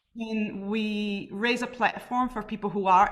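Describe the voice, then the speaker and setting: In a Brazilian accent, a woman speaks at a moderate pace with monotone, flat intonation. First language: Portuguese. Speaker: carnival artist and drummer. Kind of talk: panel talk.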